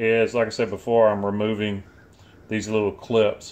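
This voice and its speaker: Moving at a moderate pace, a man talks. His voice is fairly low in pitch. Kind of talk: tutorial. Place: garage. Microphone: phone near.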